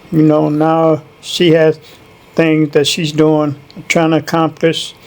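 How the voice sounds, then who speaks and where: Speaking in a Chicago accent, a man talks very slowly with monotone, flat intonation and very even loudness. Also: fairly high pitch for a man. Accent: Chicago American. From Chicago, North Side. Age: 60s. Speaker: interviewee. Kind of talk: interview. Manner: brief answers.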